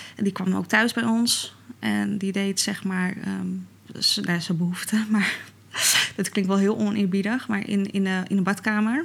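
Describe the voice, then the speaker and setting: Her voice is unremarkable as a speaking voice, a woman's at medium pitch who talks at a fairly slow pace with fairly even intonation. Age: 30s. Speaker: podcast guest, mother. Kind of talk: casual interview.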